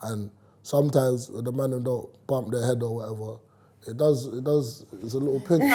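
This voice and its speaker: A man with a London accent at medium pitch, moderate pace, fairly even intonation and big swings in loudness. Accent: London multicultural English. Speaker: rapper. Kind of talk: casual chat.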